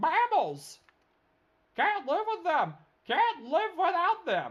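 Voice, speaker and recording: A woman puts on a character voice at an extremely high pitch. She speaks at a very slow pace. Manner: annoyed, muttering.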